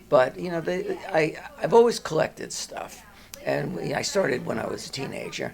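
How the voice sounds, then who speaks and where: A man's voice shows big swings in loudness. Noticeable background noise runs underneath. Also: moderate pace. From New Jersey. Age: 70s. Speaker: dermatologist. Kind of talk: interview. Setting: doctor's office waiting room. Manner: halting.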